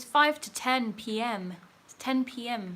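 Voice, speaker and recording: The tone is bright and sharp. The speaker has an English accent. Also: woman. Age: 30s. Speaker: YouTube narrator and streamer. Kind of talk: livestream chat, reading viewer comments.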